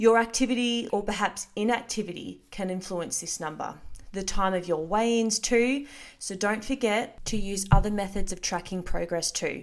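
The pace is moderate, with ordinary pitch variation in an ordinary speaking voice. The recording is very clean, with a silent background. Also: woman, medium pitch for a woman. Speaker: fitness coach podcaster. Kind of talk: pep talk, direct-address encouragement. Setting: solo recording, podcast. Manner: warm, reassuring, upbeat; practical, conversational, matter-of-fact.

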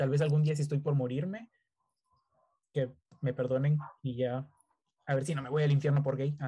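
A man speaks at a fairly high pitch in a dark, mellow, somewhat breathy tone. His pace is fairly quick, with long, frequent pauses and fairly even intonation. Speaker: podcast host. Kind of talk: casual chat. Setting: video call.

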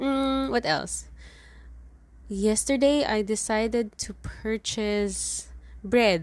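Speaking very slowly with long, frequent pauses, a woman talks with a Filipino accent. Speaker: podcast host. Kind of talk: casual solo monologue. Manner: Taglish code-switching.

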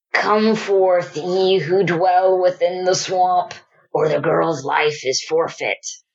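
A put-on character voice, female-sounding, middle in pitch and very slow in pace. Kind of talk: archaic, theatrical. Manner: sneering, threatening.

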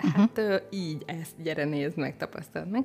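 Her pitch fairly low, a woman talks at a fairly quick pace with lively intonation. It is an ordinary speaking voice. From southern Hungary, village near the Mecsek hills. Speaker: life coach. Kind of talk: podcast interview.

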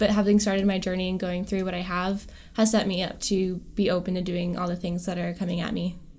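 Her medium-pitched, monotone delivery rushes at a very fast pace as a woman speaks amid audible room echo. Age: 20s. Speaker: podcast co-host. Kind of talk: casual chat.

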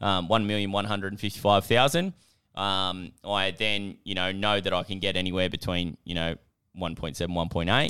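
A man talks with an Australian accent at a moderate pace. His pitch is fairly low and his intonation fairly even. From Australia, Newcastle NSW. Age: 20s. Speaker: business coach and property investor. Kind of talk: casual interview.

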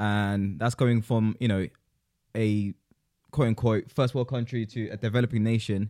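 A man with a medium-pitched, dark, mellow voice speaks at a moderate pace with fairly even intonation. The recording is very clean, with a silent background. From South Africa. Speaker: podcast co-host. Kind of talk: casual chat.

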